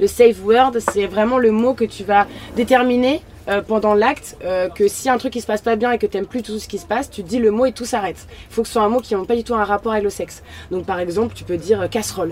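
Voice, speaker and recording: A woman with a fairly high pitch and ordinary pitch variation talks as noticeable background noise continues. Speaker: influencer. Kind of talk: casual chat. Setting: outdoors in a van at a party.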